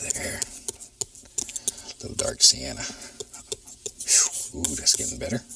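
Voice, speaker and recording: With noticeable background noise present, a man talks at a moderate pace, leaving long, frequent pauses. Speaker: painting instructor. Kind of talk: TV painting tutorial.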